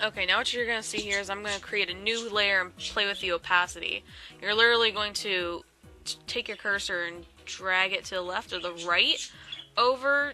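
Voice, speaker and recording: Music sits in the background behind a woman's voice. She has a medium pitch and ordinary pitch variation. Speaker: Photoshop tutorial maker. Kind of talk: tutorial voice-over. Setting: home, birds in background. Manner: casual, hesitant.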